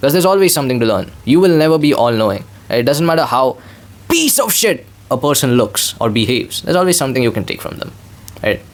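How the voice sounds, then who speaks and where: A man with a non-native accent speaks very fast, his intonation lively. Noticeable noise sits in the background. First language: not English. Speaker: vlogger. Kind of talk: casual monologue. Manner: rambling, repetitive filler.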